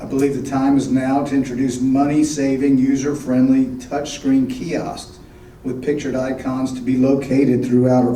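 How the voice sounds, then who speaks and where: Amid noticeable background noise and audible room echo, a man speaks at a moderate pace in a medium pitch with a monotone, flat intonation. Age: 60s. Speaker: board candidate. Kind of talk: prepared candidate speech.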